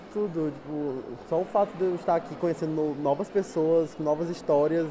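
The speech moves at a fairly slow pace with fairly even intonation. Noticeable background noise is present. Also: man. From Brazil. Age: 20s. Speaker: exchange student. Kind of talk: interview.

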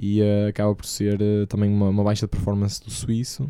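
A man's fairly low, dark, mellow voice with a European Portuguese accent, at a moderate pace. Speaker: tennis podcast host. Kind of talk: casual chat.

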